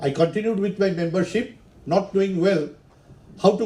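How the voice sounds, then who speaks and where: A man speaks loudly at a moderate pace with a high pitch and ordinary pitch variation. Audible room echo surrounds his voice. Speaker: engineer and professional society volunteer. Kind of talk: conference talk.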